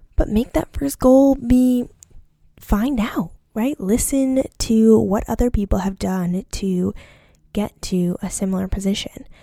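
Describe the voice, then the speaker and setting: A woman with a fairly high pitch and a dark, mellow, somewhat breathy tone speaks at a fairly slow pace with ordinary pitch variation. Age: 20s. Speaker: doctor in residency, podcast host. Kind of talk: solo podcast monologue. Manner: casual, filler-heavy.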